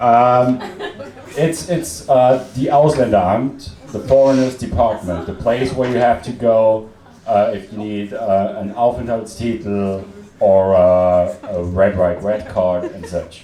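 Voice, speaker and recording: A man with an Austrian accent speaks very slowly at medium pitch with ordinary pitch variation, amid noticeable background noise and audible room echo. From Austria, Salzburg. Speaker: comedian. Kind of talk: stand-up. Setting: stage with audience. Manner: halting, with many fillers.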